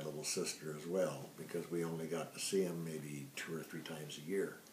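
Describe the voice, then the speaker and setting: In a Midwestern American accent, a man with a very deep, low pitch speaks at a moderate pace in a relaxed tone with fairly even intonation, with audible room echo around him. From US Midwest, western Illinois near Rock Island. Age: 70s. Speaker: family storyteller. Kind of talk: personal life story. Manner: relaxed, conversational with fillers.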